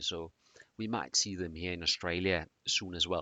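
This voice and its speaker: This man has a very deep, low voice, ordinary pitch variation, and a slight Danish accent. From Denmark. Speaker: presenter on continuous improvement. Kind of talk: presentation. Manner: hesitant, many fillers.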